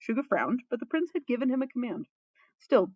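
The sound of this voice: A woman's fairly high voice at a fairly quick pace, in a dry, close sound with no echo.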